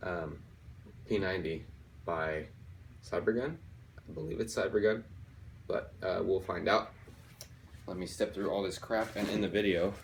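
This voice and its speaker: A man speaks at a fairly low pitch, somewhat breathy, at a moderate pace. He takes long, frequent pauses, and his pitch varies in an ordinary way. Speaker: airsoft YouTuber. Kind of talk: casual unboxing video. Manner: halting, with many fillers.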